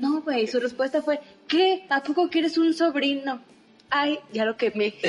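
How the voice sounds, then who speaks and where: Pitched high, a woman speaks fairly slowly with ordinary pitch variation and very even loudness. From Saltillo, northern Mexico. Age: 20s. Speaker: podcast co-host, former radio announcer. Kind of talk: casual chat.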